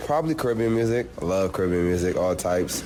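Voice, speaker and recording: A man talks at a very fast pace in a very deep, low pitch with fairly even intonation. Noticeable background noise and audible room echo fill the recording. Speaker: college football player. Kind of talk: casual interview.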